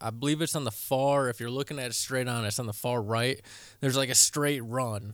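Very clean with a silent background, the recording carries a plain, everyday voice with an American accent, speaking at a fairly quick pace with fairly even intonation. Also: man, medium pitch for a man. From Michigan. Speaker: podcast host. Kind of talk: casual chat.

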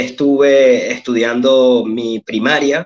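At a very slow pace, a man speaks in a medium pitch with fairly even intonation. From Venezuela, Petare (Caracas) and Sabana de Mendoza. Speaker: writer and philologist. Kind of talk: interview, personal life story.

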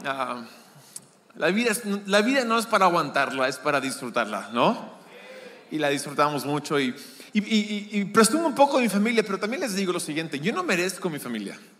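Fairly quick speech with very wide pitch swings, audible room echo and noticeable background noise. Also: man, high pitch for a man. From Peru, Lima. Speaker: guest preacher. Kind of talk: sermon. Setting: church. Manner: halting.

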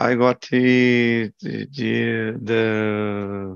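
Here a man talks with a Brazilian accent. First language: Portuguese. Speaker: systems analyst. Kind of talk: group video call, English practice. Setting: video call. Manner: halting.

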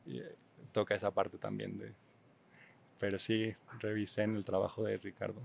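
Long, frequent pauses break up speech that otherwise keeps a moderate pace. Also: man. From Mexico City. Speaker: visual artist and exhibition organizer. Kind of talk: casual interview.

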